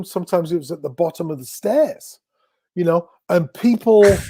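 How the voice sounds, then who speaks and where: Dark and mellow in tone, a man talks at a fairly quick pace with ordinary pitch variation. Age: 60s. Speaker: drummer and music industry figure. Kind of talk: interview.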